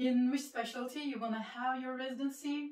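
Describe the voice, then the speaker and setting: Over noticeable background noise, a woman speaks with a Turkish accent at a high pitch. Her pace is fairly quick. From Turkey (Izmir). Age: 20s. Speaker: medical student YouTuber. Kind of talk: casual Q&A video.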